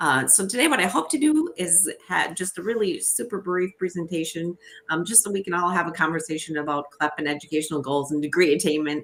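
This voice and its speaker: With a Minnesotan accent, a woman talks at a fairly quick pace in a fairly low pitch, with hardly any pauses. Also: ordinary pitch variation. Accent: Minnesota. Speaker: education organization representative. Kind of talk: webinar presentation. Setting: home office, live stream. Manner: fast.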